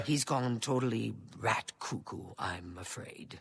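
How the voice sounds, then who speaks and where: Whispering in a put-on character voice, a man speaks at a fairly slow pace. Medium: video game. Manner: chatty.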